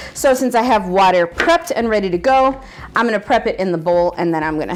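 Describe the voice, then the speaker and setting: A woman talks at a fairly quick pace in an animated tone with lively intonation, with noticeable background noise behind her. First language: Spanish. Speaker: cooking channel host. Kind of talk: cooking tutorial.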